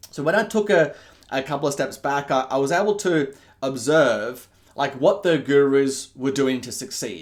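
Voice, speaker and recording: With an Australian accent, a man talks at a moderate pace. His fairly high pitch carries lively intonation. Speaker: business coach. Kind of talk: online marketing pitch. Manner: halting, many fillers and restarts.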